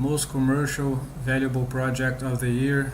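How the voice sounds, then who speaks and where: With noticeable background noise and audible room echo, a man at medium pitch speaks at a fairly slow pace in a monotone, flat delivery. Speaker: crypto YouTuber. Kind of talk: video review of a cryptocurrency. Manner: casual, hesitant with fillers.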